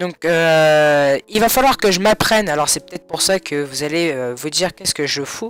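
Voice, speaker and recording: A man with a fairly high voice speaks at a moderate pace with lively intonation and hardly any pauses. The sound is dry and close with no echo, with noticeable background noise. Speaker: gaming YouTuber. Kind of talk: gameplay commentary. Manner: soft-spoken.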